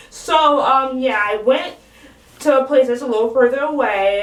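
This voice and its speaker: Amid noticeable background noise and audible room echo, a woman talks at a moderate pace. Her high-pitched voice has lively intonation. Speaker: vlogger. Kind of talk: casual vlog monologue. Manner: casual, many fillers like 'um' and 'like'.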